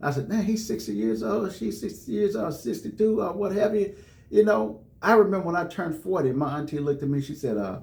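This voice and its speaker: A man's high-pitched voice at a fairly quick pace, very wide pitch swings, and audible room echo. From US South, Jackson, Tennessee. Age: 50s. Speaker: radio host. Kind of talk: radio interview.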